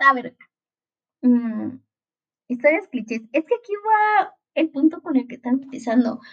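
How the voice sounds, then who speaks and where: A woman speaks at a fairly slow pace in a high voice, with very wide pitch swings, big shifts in loudness and long, frequent pauses, all recorded dry and close without echo. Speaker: podcaster reviewing TV series. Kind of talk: casual monologue. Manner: animated.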